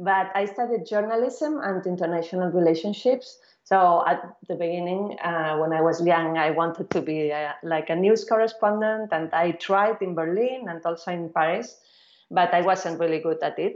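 Using an ordinary speaking voice, a woman talks at a moderate pace with a fairly low pitch and ordinary pitch variation. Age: 40s. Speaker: film director. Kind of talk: interview.

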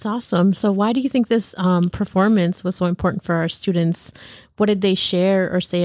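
A woman speaks in a normal speaking voice at a medium pitch, with fairly even intonation and a fairly quick pace. The recording is very clean, with a silent background. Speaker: podcast co-host. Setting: studio.

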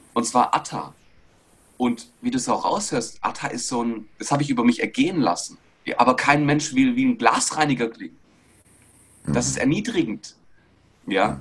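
The speaker uses an animated tone at a moderate pace, broken by long, frequent pauses. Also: man. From Stuttgart region, Germany, Greek parents. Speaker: body language and mindset coach. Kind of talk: interview.

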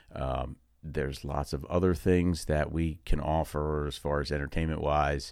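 Monotone and flat, a man with an American accent speaks at a moderate pace in a very deep, low pitch. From New Jersey, Long Valley. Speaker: podcast host, real estate agent. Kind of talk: casual monologue. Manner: halting.

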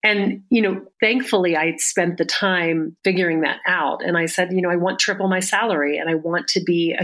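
Fairly quick and fairly even in intonation, a woman with an American accent speaks in an ordinary speaking voice at a fairly low pitch. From US South. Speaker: auction house executive and author. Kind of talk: interview.

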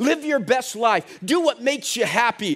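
Over music in the background, a man with an extremely high pitch speaks at a moderate pace with ordinary pitch variation. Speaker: preacher. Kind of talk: sermon. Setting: church. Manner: animated, call-and-response, exhorting the congregation; conversational, humorous, emphatic.

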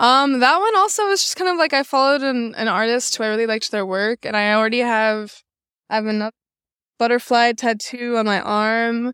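Bright and sharp in tone, a woman with an American accent speaks at a fairly quick pace with a fairly high pitch and ordinary pitch variation. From US Midwest, Chicago. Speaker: painter. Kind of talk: casual interview. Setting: art show.

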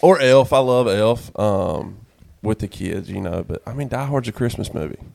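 On a very clean recording with a silent background, a man with a North Carolina accent speaks at medium pitch with lively intonation. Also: long, frequent pauses, big swings in loudness. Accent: US Southern, North Carolina. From North Carolina, Sanford. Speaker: songwriter. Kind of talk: casual chat.

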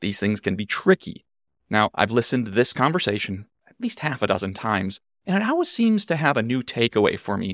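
This is a plain, everyday voice with lively intonation. The sound is dry and close, with no echo. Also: man, very clean recording, silent background. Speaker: podcast host. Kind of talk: scripted narration.

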